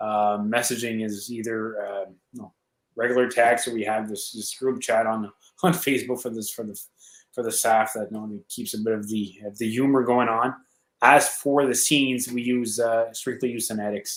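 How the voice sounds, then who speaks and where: On a very clean recording with a silent background, a man speaks with fairly even intonation and big swings in loudness. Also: medium pitch for a man, moderate pace. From Eastern Ontario, Canada, near Quebec. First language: French. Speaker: towing company operator. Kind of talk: interview Q&A.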